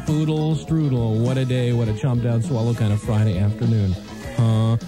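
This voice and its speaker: Clear music plays in the background of this dry recording with no echo, where the speech has ordinary pitch variation at a moderate pace. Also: man. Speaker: radio DJ. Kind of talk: radio DJ patter. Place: studio. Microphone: old recording.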